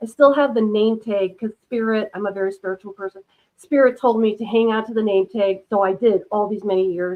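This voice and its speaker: Speaking at a fairly quick pace with an American accent, a woman uses a fairly high pitch and fairly even intonation. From Minnesota, US Midwest. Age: 60s. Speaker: UFO experiencer and author. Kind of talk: casual interview chat. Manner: hesitant, many fillers.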